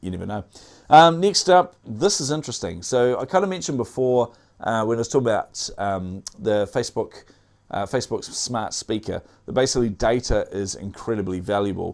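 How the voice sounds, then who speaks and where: In a very clean recording with a silent background, a man with a New Zealand accent talks at a fairly quick pace in a medium pitch, his voice swinging very widely up and down. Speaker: tech news show host. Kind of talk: news roundup commentary. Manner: casual, many filler words.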